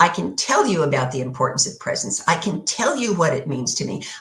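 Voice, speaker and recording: A woman speaks with a very deep, low pitch. Vocal fry marks her voice. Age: 70s. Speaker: minister. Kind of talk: sermon.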